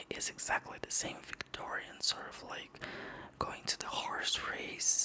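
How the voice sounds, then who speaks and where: Over noticeable background noise, a whisper moves along at a fairly slow pace. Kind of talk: whispered ASMR magazine reading with casual commentary. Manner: whispered, soft.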